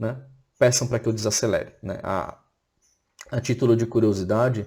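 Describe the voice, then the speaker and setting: A man speaks at a moderate pace. His intonation stays flat and monotone. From Florianópolis, southern Brazil. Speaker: teacher. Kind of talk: recorded online lecture.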